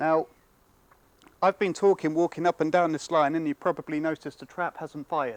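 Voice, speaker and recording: A man with a British accent speaks at a fairly high pitch with fairly even intonation and big swings in loudness, recorded with a dry, close sound and no echo. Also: fairly quick pace, very clean recording, silent background. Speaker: product demonstrator. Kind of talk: product demonstration.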